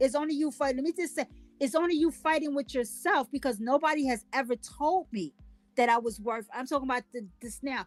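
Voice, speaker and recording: The speaker talks at a fairly quick pace with ordinary pitch variation, music playing behind, in a dry, close sound with no echo. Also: woman, high pitch for a woman. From Louisiana. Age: 50s. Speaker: podcast host. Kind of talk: casual chat. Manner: stutters at times; animated.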